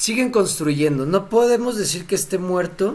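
A man with a Mexican accent, very wide pitch swings, a fairly slow pace and audible room echo. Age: 30s. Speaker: crypto streamer. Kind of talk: live stream Q&A. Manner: casual, laughing often.

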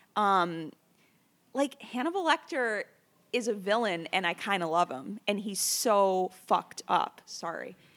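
Lively intonation marks this woman's medium-pitched voice at a fairly slow pace. The recording is very clean with a silent background. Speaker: film publicist. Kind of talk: casual chat. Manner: halting.

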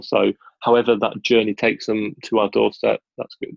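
A man with a British accent, at a fairly quick pace. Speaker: business school recruitment manager. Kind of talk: interview. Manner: animated.

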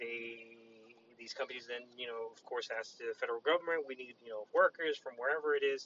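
This man has a plain, everyday voice, speaking at a fairly quick pace and medium pitch with ordinary pitch variation. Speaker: podcast co-host. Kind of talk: casual chat.

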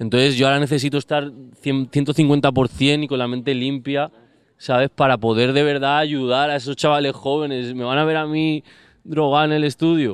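A man at a fairly high pitch with monotone, flat intonation. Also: moderate pace. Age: 30s. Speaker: music producer. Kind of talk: casual chat.

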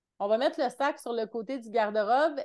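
In a Quebec accent, a woman talks at a high pitch with ordinary pitch variation. The background is quiet. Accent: Québécois French. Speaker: mentor and entrepreneur. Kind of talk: casual interview.

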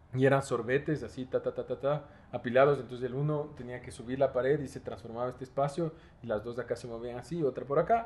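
A man speaks at a medium pitch, somewhat breathy, with ordinary pitch variation. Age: 20s. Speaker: architect and university lecturer. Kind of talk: casual interview chat. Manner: animated.

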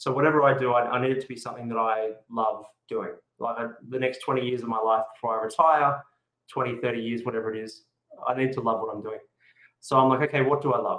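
A man with an Australian accent, medium in pitch and fairly even in intonation, talking at a very fast pace broken by long, frequent pauses. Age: 40s. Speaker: whisky and food pairing event host. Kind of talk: casual chat. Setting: video call.

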